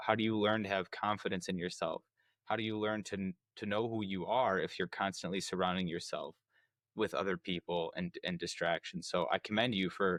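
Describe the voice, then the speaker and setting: In an American accent, a man talks at a fairly quick pace with a fairly low pitch. He has a normal speaking voice and fairly even intonation. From United States. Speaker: podcast host. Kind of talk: interview conversation.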